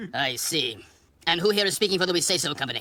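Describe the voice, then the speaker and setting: A cartoonish character voice at a middle pitch. It races along at a very fast pace. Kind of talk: courtroom speech.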